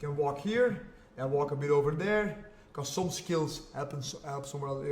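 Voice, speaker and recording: A man with a Flemish Belgian accent speaks in an animated tone at a fairly high pitch with ordinary pitch variation, amid audible room echo and noticeable background noise. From Belgium (Flanders). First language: Flemish (Dutch). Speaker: jiu-jitsu and MMA fighter. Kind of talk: podcast interview. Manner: animated, repetitive.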